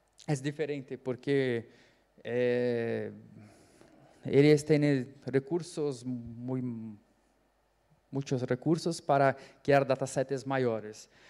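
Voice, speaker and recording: Very slowly and with long, frequent pauses, a man speaks at a medium pitch in a dark, mellow tone with fairly even intonation. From Brazil. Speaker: panelist, AI researcher. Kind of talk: conference panel talk. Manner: halting, many fillers.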